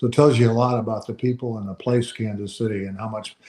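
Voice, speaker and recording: A man with an American accent talks very fast at a medium pitch, his tone dark and mellow. His intonation stays monotone and flat. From US West Coast, San Diego. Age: 70s. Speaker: former baseball player and manager. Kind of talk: casual interview.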